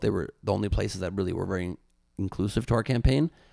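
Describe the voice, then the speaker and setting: A man speaks in a plain, everyday voice, fairly low in pitch, with lively intonation. The recording is very clean, with a silent background. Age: 40s. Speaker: comedian. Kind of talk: casual chat.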